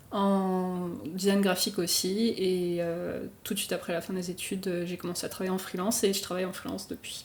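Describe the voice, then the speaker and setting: A woman with a medium pitch talks at a fairly quick pace, her intonation monotone and flat. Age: 20s. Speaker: illustrator and motion designer. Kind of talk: podcast interview. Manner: casual, many fillers.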